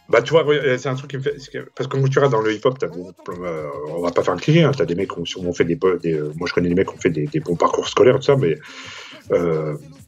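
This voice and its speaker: Against noticeable background noise, a man at medium pitch talks at a very fast pace with very wide pitch swings and long, frequent pauses. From Saint-Denis, Paris suburbs, France. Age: 50s. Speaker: magazine founder. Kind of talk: casual interview.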